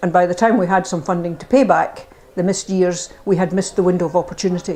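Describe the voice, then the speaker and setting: A woman with a Scottish accent. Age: 70s. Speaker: older person sharing views. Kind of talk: testimony.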